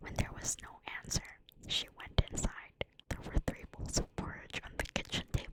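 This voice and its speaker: A whispering voice moves at a moderate pace over noticeable background noise. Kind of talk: bedtime story whispered ASMR reading. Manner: whispered, soft.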